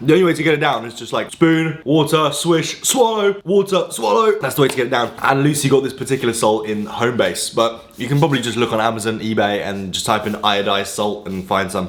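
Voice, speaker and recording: With an English accent, a man talks at a fairly quick pace with lively intonation and hardly any pauses, against noticeable background noise. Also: medium pitch for a man. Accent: posh-sounding English, crisp T's. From Poland, moved to England at about nine. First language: Polish. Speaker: fitness influencer. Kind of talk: casual vlog talk to camera.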